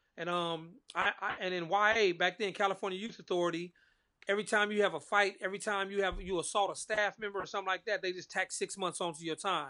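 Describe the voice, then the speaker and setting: In a raised, projected voice, a man speaks very fast at a high pitch with a bright, sharp tone and monotone, flat intonation against a quiet background. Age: 40s. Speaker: author, formerly incarcerated. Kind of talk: casual interview chat. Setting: remote call.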